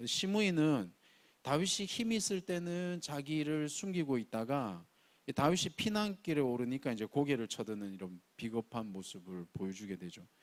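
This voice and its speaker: A man with a strong Gyeongsang accent and very wide pitch swings, on a very clean recording with a silent background. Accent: Gyeongsang dialect, strong pronunciation. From Gyeongsang region, South Korea. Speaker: pastor. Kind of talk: sermon. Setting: church, early-morning service.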